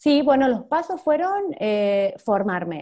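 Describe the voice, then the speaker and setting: A woman's dark, mellow tone unfolds at a fairly slow pace. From Argentina. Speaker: digital entrepreneur, social media manager. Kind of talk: interview.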